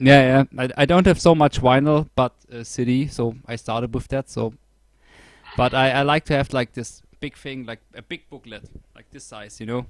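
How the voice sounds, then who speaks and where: A man's medium-pitched voice with a German accent, at a moderate pace with fairly even intonation, in a dry, close sound with no echo. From Germany. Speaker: podcast host, music reviewer. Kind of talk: casual interview chat.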